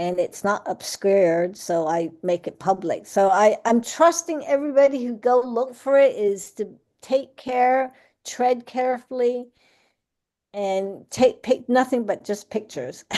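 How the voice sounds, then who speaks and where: A woman speaks at a fairly slow pace in a dark, mellow tone. The background is quiet. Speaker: plant enthusiast giving a talk. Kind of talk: Q&A after a talk. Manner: halting, stuttering.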